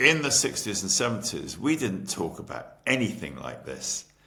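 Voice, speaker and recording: Speaking in an English accent at a moderate pace, the voice makes very wide pitch swings. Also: man. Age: 70s. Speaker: entrepreneur. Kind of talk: interview.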